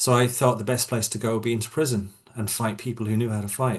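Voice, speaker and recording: A man's very fast, somewhat breathy speech at a medium pitch, fairly even in intonation, over a quiet background. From Ireland, County Waterford. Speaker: martial arts instructor, former prison officer. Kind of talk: podcast interview.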